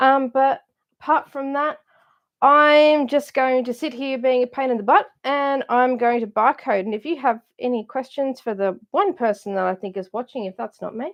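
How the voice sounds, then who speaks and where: Speaking with an Australian accent, a woman has a high pitch with ordinary variation. Her pace is moderate. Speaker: craft supplies seller. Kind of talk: live stream chat.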